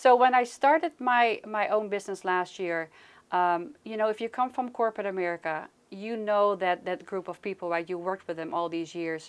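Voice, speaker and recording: A woman with a Dutch accent, medium pitch, ordinary pitch variation and a moderate pace, on a very clean recording with a silent background. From Netherlands. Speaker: Reiki practitioner and health coach. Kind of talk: interview. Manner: hesitant, many fillers.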